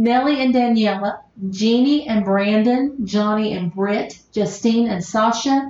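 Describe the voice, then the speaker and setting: A woman speaks with an American accent at a very slow pace. Her pitch is fairly high, with ordinary variation. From US South, southern West Virginia. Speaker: podcast host. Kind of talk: casual chat.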